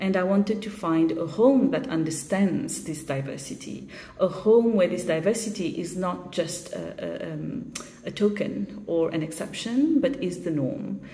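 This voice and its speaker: A woman speaks at a moderate pace with a Mauritian accent and lively intonation, and audible room echo surrounds her voice. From Mauritius. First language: Mauritian Creole. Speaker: short story writer. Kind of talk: video statement about her shortlisted story. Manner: reflective, with frequent fillers.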